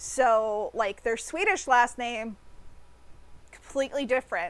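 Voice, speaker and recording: A woman with a high pitch speaks in an American accent. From United States. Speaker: artist streamer. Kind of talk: casual chat. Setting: live stream. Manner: hesitant, many fillers.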